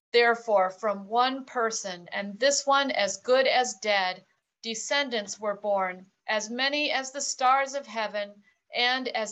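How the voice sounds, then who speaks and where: Using a plain, everyday voice, a woman speaks at a fairly slow pace with a fairly high pitch and ordinary pitch variation. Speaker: scripture reader. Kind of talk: scripture reading.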